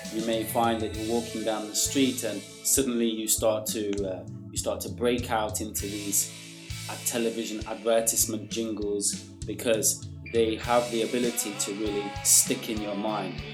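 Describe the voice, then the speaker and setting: The tone is relaxed. Music plays in the background. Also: man, fairly low pitch for a man, fairly even intonation, moderate pace. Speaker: English teacher. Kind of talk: educational podcast talk. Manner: relaxed, conversational with hesitations.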